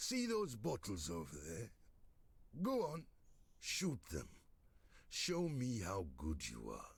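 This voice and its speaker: Putting on a character voice at a medium pitch, a man speaks at a fairly slow pace with long, frequent pauses. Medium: video game. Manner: gruff, sarcastic.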